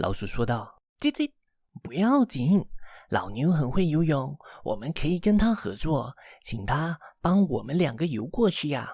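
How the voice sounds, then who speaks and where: A squeaky put-on character voice sits at a middle pitch at a moderate pace. The recording is very clean with a silent background. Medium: read story. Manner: squeaky chirping "叽叽".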